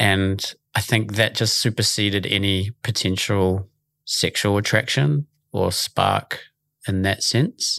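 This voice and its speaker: A man with a New Zealand accent speaks very slowly at a fairly low pitch with very even loudness. The recording is very clean, with a silent background and a dry, close sound with no echo. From New Zealand, Auckland. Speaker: youth charity director. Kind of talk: casual chat.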